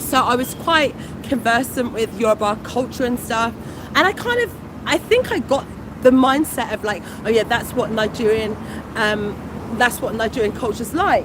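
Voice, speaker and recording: With a British accent, a woman speaks in a high pitch. Her pitch varies in an ordinary way, and noticeable background noise is present. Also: moderate pace. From England. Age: 40s. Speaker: food vlogger. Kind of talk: livestream chat.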